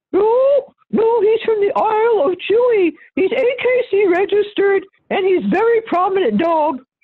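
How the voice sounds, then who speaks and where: A squeaky, put-on character voice. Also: woman, extremely high pitch for a woman, moderate pace. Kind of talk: comic overacting with exaggerated mask face. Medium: game stream. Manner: proud, overly polite.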